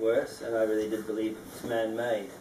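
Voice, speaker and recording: A man's medium-pitched voice at a moderate pace, with noticeable background noise and audible room echo. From Scotland, moved to New Zealand at 14. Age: 50s. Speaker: interviewee, dome house builder. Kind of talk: interview. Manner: halting with many fillers.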